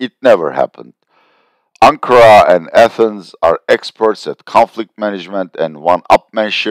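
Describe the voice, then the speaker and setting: A man speaks with a Turkish accent at a moderate pace. The sound is dry and close with no echo, and the recording is very clean with a silent background. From Turkey. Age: 60s. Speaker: political and economic analyst. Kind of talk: video commentary.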